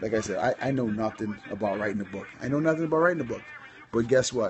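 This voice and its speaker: There is music in the background as a man speaks. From Caribbean islands. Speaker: entrepreneur and social media coach. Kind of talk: livestream talk. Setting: live stream broadcast. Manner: animated.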